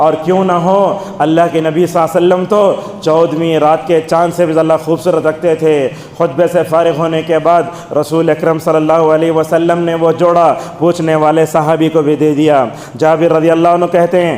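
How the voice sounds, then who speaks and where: Over noticeable background noise, a man speaks in a fairly high pitch with monotone, flat intonation and very even loudness. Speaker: Islamic preacher delivering Friday sermon. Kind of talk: Friday sermon.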